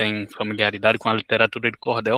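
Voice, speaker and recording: A man with a northeastern Brazilian accent speaks at a medium pitch in a bright, sharp tone, the sound dry and close with no echo. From Rio Grande do Norte, northeast Brazil. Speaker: cordel poet. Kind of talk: self-introduction.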